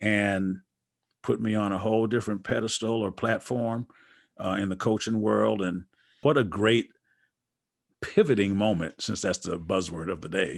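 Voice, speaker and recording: In an American accent, a plain, everyday voice speaks at a moderate pace. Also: man. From Wisconsin, US Midwest. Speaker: basketball coach and author. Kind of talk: interview conversation. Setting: podcast.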